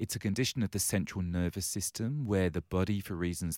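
A man speaks with an English accent. The recording is very clean, with a silent background and a dry, close sound with no echo. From London, England. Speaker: charity chief executive. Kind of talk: interview.

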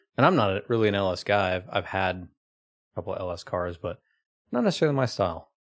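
A man with an American accent talks very fast, at a fairly low pitch with ordinary pitch variation. Long pauses come often. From Oklahoma. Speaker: car enthusiast and JDM car flipper. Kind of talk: casual chat. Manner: halting, many fillers.

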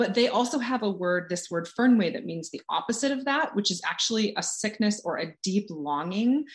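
A woman with a plain, everyday voice and an American accent talks at a moderate pace, her medium pitch carrying lively intonation. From California. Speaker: author and coach. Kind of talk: casual interview chat.

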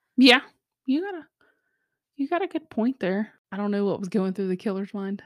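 A woman's medium-pitched voice at a fairly quick pace, broken by long, frequent pauses, on a very clean recording with a silent background. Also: dry, close sound with no echo. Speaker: podcast host. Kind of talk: true-crime narration, reading case details aloud in a flat, matter-of-fact recounting. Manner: steady, grave narration of grisly details; casual, bantering, laughs often between segments.

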